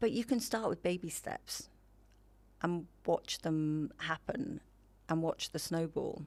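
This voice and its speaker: Pausing long and often, a woman talks at a very slow pace. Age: 60s. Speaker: mature model and wellness advocate. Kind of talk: casual interview chat. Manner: animated.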